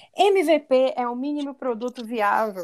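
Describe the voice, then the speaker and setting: With a high pitch and ordinary pitch variation, a woman is talking. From Pará, Brazil. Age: 30s. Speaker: podcast co-host, marketer. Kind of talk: casual chat.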